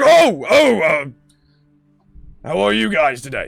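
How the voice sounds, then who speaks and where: Music plays in the background as a man delivers a raspy, fairly high put-on character voice at a fairly slow pace. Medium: actual play. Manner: gruff, blunt.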